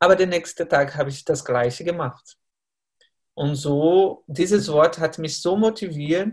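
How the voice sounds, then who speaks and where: A man speaks with a Brazilian accent at a fairly slow pace. His pitch is fairly high, with ordinary pitch variation. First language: Portuguese (speaking German). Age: 30s. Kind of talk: interview. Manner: halting, with fillers.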